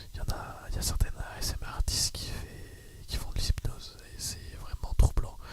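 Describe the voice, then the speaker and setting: Over noticeable background noise, a man's whisper moves at a moderate pace. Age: 20s. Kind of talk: casual talk to camera. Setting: home studio microphone. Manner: whispered, soft-spoken.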